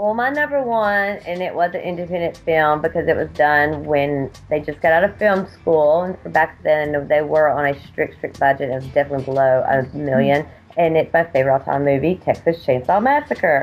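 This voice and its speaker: In a strong Southern US accent, a woman with a very deep, low pitch speaks at a moderate pace with hardly any pauses and ordinary pitch variation. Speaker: indie horror filmmaker. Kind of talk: casual chat.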